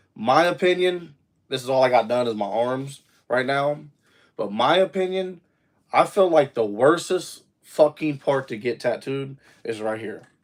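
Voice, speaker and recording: In a very clean recording with a silent background, a man with a normal speaking voice and fairly high pitch speaks at a fairly slow pace with lively intonation. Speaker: livestreamer. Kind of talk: casual livestream chat. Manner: casual, filler-heavy.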